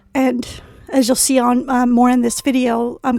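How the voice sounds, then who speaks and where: With music playing in the background, a woman talks in a high voice. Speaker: cosplayer. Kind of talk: casual tutorial voice-over.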